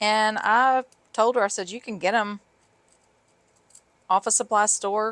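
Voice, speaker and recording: A woman speaks with a Southern US accent, leaving long, frequent pauses. Her loudness swings widely on a very clean recording with a silent background. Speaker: sewing and craft video creator. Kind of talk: tutorial; casual chat. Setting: home craft room. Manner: casual, rambling with fillers.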